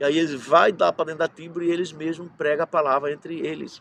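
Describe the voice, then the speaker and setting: A man with an unremarkable speaking voice talks fairly high in pitch and at a moderate pace. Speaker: pastor. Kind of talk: sermon.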